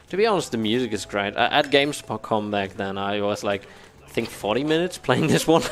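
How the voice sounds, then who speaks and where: Speaking with a German accent, a man at medium pitch moves at a fairly quick pace with lively intonation. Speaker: speedrunner. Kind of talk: live gameplay commentary. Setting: live event stage with couch audience. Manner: halting, many fillers and restarts.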